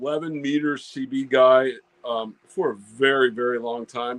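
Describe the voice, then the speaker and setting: The dry, close sound with no echo carries a man speaking with an American accent. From Virginia coast, US. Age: 60s. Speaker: ham radio YouTuber. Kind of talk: interview, casual storytelling. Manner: halting, many fillers and repeats.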